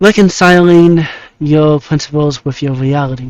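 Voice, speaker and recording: Soft-spoken and fairly slow, a man talks at a fairly high pitch with ordinary pitch variation in a dry, close sound with no echo. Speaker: vtuber. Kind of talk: casual monologue. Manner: halting. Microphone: lavalier mic clipped on beanie, phone backup.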